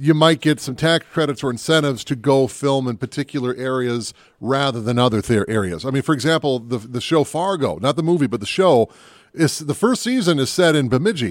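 A man with an American accent and a normal speaking voice talks at a fairly quick pace in a fairly high register with lively intonation. The recording is very clean with a silent background, and the sound is dry and close with no echo. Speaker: movie podcast host. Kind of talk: casual banter podcast chat about movies. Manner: joking, playful.

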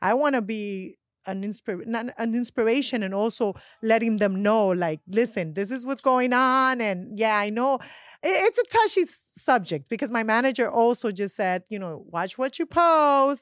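Speaking at a moderate pace, a woman uses a fairly high pitch and lively intonation. The recording is very clean and dry, close with no echo and a silent background. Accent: Colombian. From Colombia. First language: Spanish. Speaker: actress and magazine contributor. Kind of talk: casual chat. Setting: studio.

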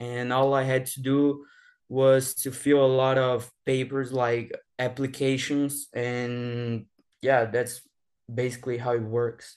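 A man's medium-pitched voice, monotone and flat in intonation, at a very slow pace. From Brazil. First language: Portuguese. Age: 20s. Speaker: former exchange student, now college student. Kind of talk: casual interview. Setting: remote call from Brazil. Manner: halting, searches for English words.

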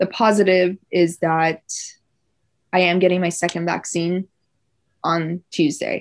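In a quiet background with a dry, close sound and no echo, a woman speaks at a fairly low pitch with fairly even intonation. Her pace is fairly slow, with long, frequent pauses. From Iran, raised in Orange County, California from a young age. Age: 20s. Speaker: nursing student. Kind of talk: casual interview.

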